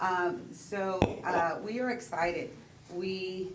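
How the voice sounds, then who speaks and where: Over noticeable background noise and audible room echo, a woman with an American accent talks in a medium pitch with fairly even intonation. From Texas. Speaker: disaster case manager. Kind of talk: presentation at public meeting. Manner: hesitant, with fillers.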